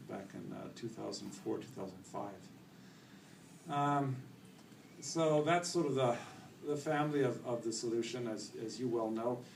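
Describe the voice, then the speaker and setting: A man speaks with a Canadian accent and ordinary pitch variation. His long, frequent pauses sit in audible room echo. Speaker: company executive presenting products. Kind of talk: conference presentation. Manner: loud.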